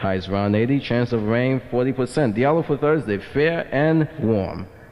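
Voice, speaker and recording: A man at a moderate pace, with ordinary pitch variation and very even loudness. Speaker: radio news reader. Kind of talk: radio newscast, weather and news read. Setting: 1980s American FM radio. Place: studio. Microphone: old recording.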